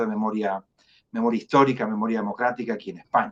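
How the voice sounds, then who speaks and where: A man talks in a Chilean accent at a medium pitch. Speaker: jurist, foundation director. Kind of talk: interview. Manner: halting, many fillers and repetitions.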